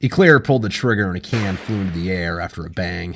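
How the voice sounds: A man talks fast in a put-on character voice, low in pitch with vocal fry. His tone is fairly bright, and his pitch varies in an ordinary way.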